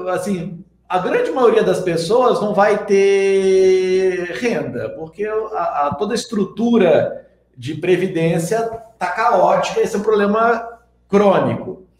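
There is audible room echo as a man speaks at a high pitch with ordinary pitch variation. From Minas Gerais, Brazil. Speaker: investment youtuber. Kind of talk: interview.

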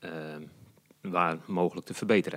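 A man's voice is captured in a dry, close sound with no echo. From Netherlands, Noordoostpolder. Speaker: community energy initiator. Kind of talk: interview.

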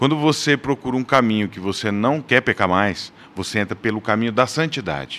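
Lively intonation from a man at a moderate pace. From Brazil, Paraná (Londrina). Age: 40s. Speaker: church men's ministry leader. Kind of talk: casual chat.

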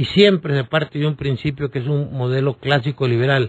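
Somewhat breathy, a man's voice sits fairly high in pitch. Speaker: political analyst and lawyer. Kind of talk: radio interview.

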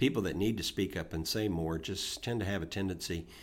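Here a man talks at a fairly quick pace in an ordinary speaking voice with fairly low pitch. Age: 60s. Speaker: podcast co-host. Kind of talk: casual chat.

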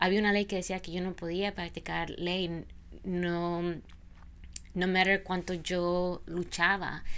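Speaking at a very slow pace with long, frequent pauses, a woman keeps her fairly low voice in a monotone, flat intonation. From Honduras. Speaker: immigration lawyer. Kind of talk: interview, personal story.

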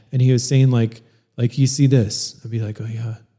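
A dark, mellow, somewhat breathy voice at a moderate pace, with monotone, flat intonation. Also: man. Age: 40s. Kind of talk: casual chat.

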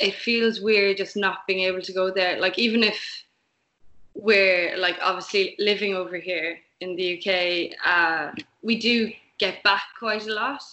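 A woman speaks with an Irish accent. Her pitch is medium and her intonation fairly even. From Ireland, Limerick. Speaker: musician in a band. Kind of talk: interview.

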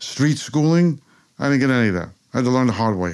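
With a New York accent, a man talks with ordinary pitch variation on a very clean recording with a silent background. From New York, Queens (Rockaway Park). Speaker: author. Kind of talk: interview. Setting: office.

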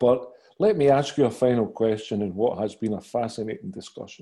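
Talking at a fairly quick pace, a man with a Glaswegian accent has a dark, mellow tone, a medium pitch and ordinary pitch variation. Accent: Glaswegian Scottish. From Scotland, Glasgow. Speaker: author and podcast interviewer. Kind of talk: interview.

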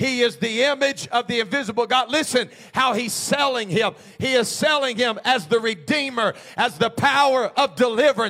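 A man with an extremely high pitch talks in a raised, projected voice at a moderate pace, his tone animated, bright and sharp, with ordinary pitch variation and very even loudness. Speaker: preacher. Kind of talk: sermon. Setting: church. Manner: animated, exhorting call-and-response delivery; fervent, urgent altar-call pleading.

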